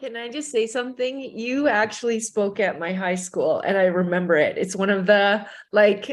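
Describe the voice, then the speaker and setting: In a Canadian accent, a woman talks at a moderate pace with hardly any pauses, using an ordinary speaking voice with a fairly high pitch and ordinary pitch variation. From Alberta, Canada. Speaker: panel guest. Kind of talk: casual chat.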